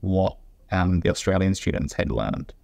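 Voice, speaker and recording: A very deep, low-pitched man in a New Zealand accent, against a quiet background. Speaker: junior doctor. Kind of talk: interview. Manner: deliberately slowed speech.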